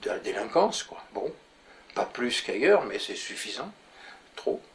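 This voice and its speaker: At a fairly slow pace, the man talks while noticeable background noise persists. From France, Paris. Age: 80s+. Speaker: urban planner. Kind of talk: interview. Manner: halting.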